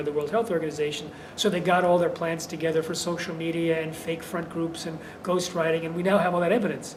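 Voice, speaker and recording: A man's high-pitched voice at a fairly quick pace, with audible room echo and noticeable background noise. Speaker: activist author on GMOs. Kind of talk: interview. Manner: fast.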